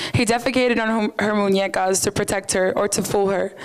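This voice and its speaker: A woman's medium-pitched, monotone, flat delivery at a fairly quick pace amid noticeable background noise. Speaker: poet and event organizer. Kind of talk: poetry performance; casual stage talk.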